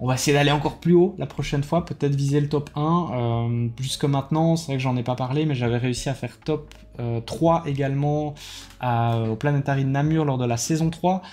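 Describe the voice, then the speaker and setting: With a dark, mellow tone, a man talks at a fairly high pitch, fairly even in intonation and moderate in pace. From Belgium. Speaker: YouTuber, card game player. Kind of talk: casual vlog debrief. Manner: hesitant, many fillers.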